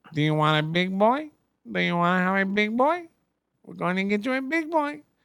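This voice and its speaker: Putting on a character voice, a man talks at a fairly quick pace in a high pitch with very wide pitch swings. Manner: mocking, teasing.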